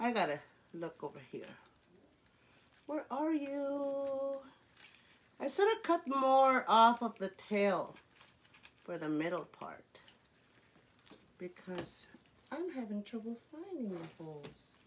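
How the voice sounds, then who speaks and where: A woman speaks at a very slow pace in a high pitch, with very wide pitch swings, big swings in loudness, and long, frequent pauses. Noticeable background noise runs underneath. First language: Cree. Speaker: crafter. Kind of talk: live craft tutorial. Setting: livestream. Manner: halting, many fillers; chatty.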